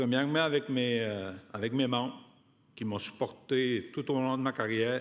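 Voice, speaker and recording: Speaking with a strong Quebec accent, this man has a medium pitch. His intonation is fairly even. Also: fairly slow pace. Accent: strong regional Quebec. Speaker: union activist, award recipient. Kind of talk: acceptance speech.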